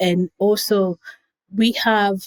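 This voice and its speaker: A woman with a Kenyan accent speaks at a medium pitch. Her sound is dry and close, with no echo. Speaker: nonprofit founder. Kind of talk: interview.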